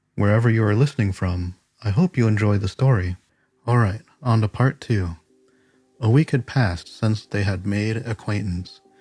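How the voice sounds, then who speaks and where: At a moderate pace broken by long, frequent pauses, a man with a fairly low pitch and ordinary pitch variation speaks over background music in a dry, close sound with no echo. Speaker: podcast host. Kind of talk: audiobook reading.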